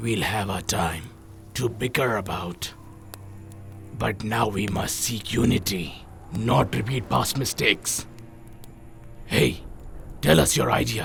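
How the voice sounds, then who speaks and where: A man puts on a character voice with a fairly low pitch, at a fairly slow pace. He leaves long, frequent pauses over clear background noise. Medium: fan dub. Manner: blunt, decisive.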